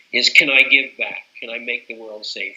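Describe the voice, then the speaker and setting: A man's fairly quick pace is set against noticeable background noise. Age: 70s. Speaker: psychologist, professor emeritus. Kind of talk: interview. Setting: in-person interview. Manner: hesitant, repeats words.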